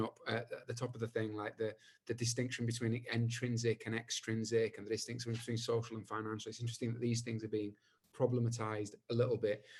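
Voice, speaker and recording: Somewhat breathy and at a medium pitch, a man speaks fairly quickly in a monotone, flat intonation. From Bradford, northern England. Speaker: panel chair, artist. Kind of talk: panel moderation. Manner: hesitant, repetitive fillers.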